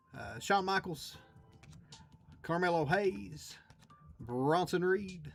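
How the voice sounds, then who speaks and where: With music in the background, a man speaks with lively intonation. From Kentucky. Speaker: live card break streamer. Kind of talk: live stream card break commentary. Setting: live stream with camera and chat.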